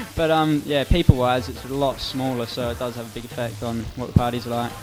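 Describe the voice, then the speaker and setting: Amid noticeable background noise, a man with an Australian accent talks at a very fast pace and medium pitch, with fairly even intonation and big swings in loudness. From Perth, Australia. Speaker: hardcore DJ. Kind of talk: radio interview.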